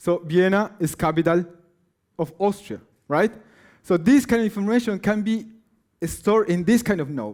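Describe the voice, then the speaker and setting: A man with a Spanish accent speaks at a moderate pace with ordinary pitch variation in a very clean recording with a silent background. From Peru. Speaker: science slam presenter, computer science researcher. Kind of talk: science slam talk. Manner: halting.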